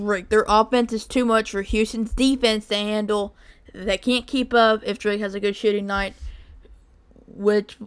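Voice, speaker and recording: A fairly slow pace with monotone, flat intonation. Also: woman, fairly high pitch for a woman. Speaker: sports bracket picker, video creator. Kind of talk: casual commentary on bracket picks. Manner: pauses mid-sentence.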